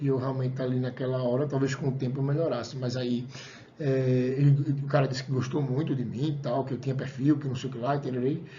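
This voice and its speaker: Audible room echo surrounds a man talking at a very fast pace in a somewhat breathy voice. His medium pitch stays monotone and flat. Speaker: college lecturer. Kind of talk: lecture. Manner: casual, conversational.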